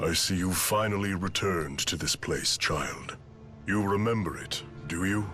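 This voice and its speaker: Over clear music in the background, a man puts on a character voice at a fairly low pitch and a moderate pace. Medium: video game.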